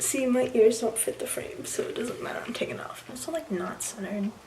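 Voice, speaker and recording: Whispering quietly at a fairly quick pace, a woman is heard over noticeable background noise. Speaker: Disney College Program participant. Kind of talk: casual talk to camera. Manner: whispered, quiet; nervous, rambling.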